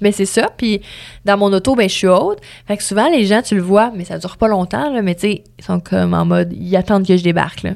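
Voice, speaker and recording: Over a silent background on a very clean recording, a woman speaks at a fairly quick pace in a medium pitch with ordinary pitch variation. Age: 20s. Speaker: radio host. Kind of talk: interview conversation.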